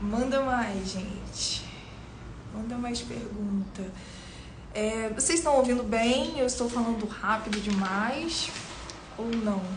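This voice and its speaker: Speaking at a very slow pace with long, frequent pauses, a woman has a fairly high pitch and ordinary pitch variation, with audible room echo and noticeable background noise. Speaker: beauty professional and live-stream host. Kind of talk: live stream Q&A with viewers. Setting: studio.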